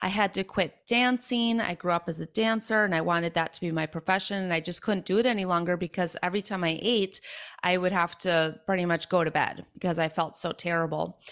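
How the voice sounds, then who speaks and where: A woman speaks at a medium pitch and a fairly quick pace, with ordinary pitch variation. Hardly any pauses occur, and the recording is very clean against a silent background. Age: 30s. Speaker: human design reader and fitness instructor. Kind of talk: casual interview.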